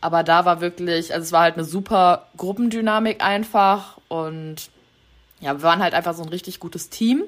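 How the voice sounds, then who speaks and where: A woman with an unremarkable speaking voice at a medium pitch and moderate pace, on a very clean recording with a silent background. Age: 20s. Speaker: travel content creator. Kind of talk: casual interview chat.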